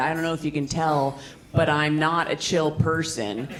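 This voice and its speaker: Her voice has a very deep, low pitch for a woman, with fairly even intonation. Audible room echo and noticeable background noise are present. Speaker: stand-up comedian. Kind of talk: stand-up. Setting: stage with audience.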